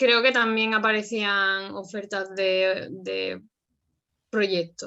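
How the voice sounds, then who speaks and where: A woman at a medium pitch, very slow in pace, with fairly even intonation. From Andalusia, Jerez. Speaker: former volunteer. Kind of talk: interview.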